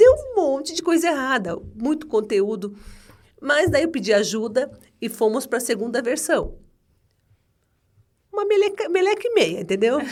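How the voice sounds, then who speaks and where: With long, frequent pauses, a woman speaks at a high pitch using very wide pitch swings. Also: moderate pace. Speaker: HR entrepreneur. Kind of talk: casual interview.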